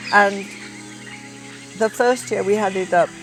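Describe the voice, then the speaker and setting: A woman speaks in a northern English accent with a fairly high voice. Music plays in the background. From northern England, County Durham. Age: 70s. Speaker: ornithologist. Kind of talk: documentary interview. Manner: halting.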